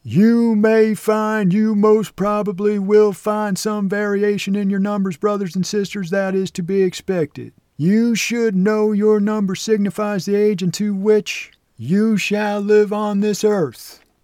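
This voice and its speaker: In a put-on character voice, the speaker bellows in a pompous tone. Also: man. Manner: bellowing, pompous.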